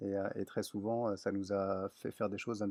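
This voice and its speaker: Fairly quick, fairly low-pitched speech from a man. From southwest France, Lot-et-Garonne. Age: 60s. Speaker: business owner and traveller. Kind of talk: interview.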